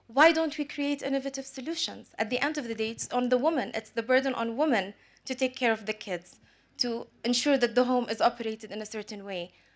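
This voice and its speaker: With an Arabic accent, a woman talks at a fairly quick pace at a high pitch. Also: ordinary pitch variation. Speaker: business executive and panelist. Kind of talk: panel discussion.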